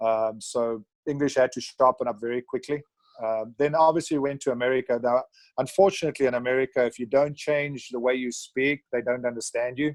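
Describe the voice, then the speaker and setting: At a fairly quick pace, a man of medium pitch talks with fairly even intonation in a dry, close sound with no echo against a quiet background. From South Africa, Natal (Dundee). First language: Afrikaans. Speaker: retired rugby player. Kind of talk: casual interview.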